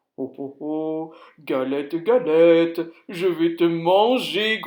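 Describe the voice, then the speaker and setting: A put-on character voice growls at a middle pitch and a very slow pace. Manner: menacing, growling.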